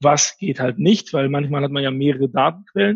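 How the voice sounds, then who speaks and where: A man with a fairly high pitch and ordinary pitch variation sounds somewhat breathy. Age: 30s. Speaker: marketing executive. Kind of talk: interview.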